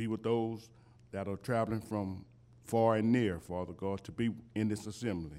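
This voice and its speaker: A man speaks at a moderate pace with fairly even intonation. His fairly low voice has a dark, mellow tone. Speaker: church leader praying. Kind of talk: closing prayer. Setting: church.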